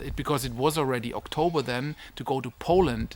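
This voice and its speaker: A man with a German accent, medium in pitch, with ordinary pitch variation. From Germany. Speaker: online business mentor and family vlogger. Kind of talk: casual vlog talk. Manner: halting, with fillers and restarts.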